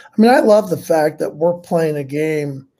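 Somewhat breathy and dark, mellow in tone, a man speaks with an American accent. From Indiana, US Midwest. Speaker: sports podcast co-host. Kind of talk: casual chat.

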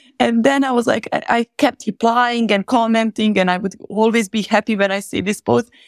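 A woman with a non-native accent talks at a moderate pace in a fairly high pitch with hardly any pauses, on a very clean recording with a silent background and a dry, close sound with no echo. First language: not English. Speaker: podcast host. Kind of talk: casual chat. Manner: laughs often, animated.

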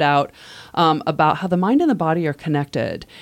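With an American accent, a woman talks at a fairly quick pace in a very deep, low pitch. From US Midwest. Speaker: manual therapist. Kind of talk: interview, casual conversation.

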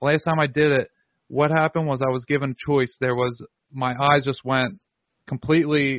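The speech moves at a fairly quick pace, with monotone, flat intonation. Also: man, fairly high pitch for a man. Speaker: podcast host. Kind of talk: interview conversation.

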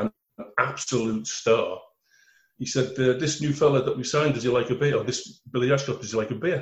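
A man speaks with a Liverpool accent at a medium pitch. His voice is somewhat breathy. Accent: Scouse. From Liverpool, England. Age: 60s. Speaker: former footballer. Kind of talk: interview.

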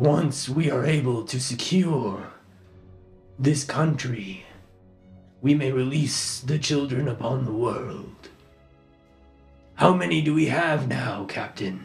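A put-on character voice at low-to-middle pitch, fairly slow pace and long, frequent pauses, with faint music in the background. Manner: menacing, commanding.

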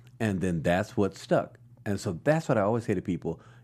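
Lively intonation from a man at a moderate pace, on a very clean recording with a silent background. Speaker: singer in vocal group. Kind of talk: casual radio interview.

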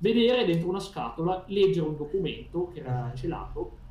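Fairly quick and lively in intonation, a man's voice comes through. Room echo is audible around him. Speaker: paranormal experiencer. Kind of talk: casual chat. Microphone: video freezing, unstable connection.

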